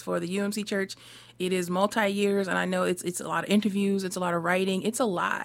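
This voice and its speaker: Delivery is fairly quick, and the intonation is monotone and flat. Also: woman. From US Northeast. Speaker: minister. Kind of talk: radio interview.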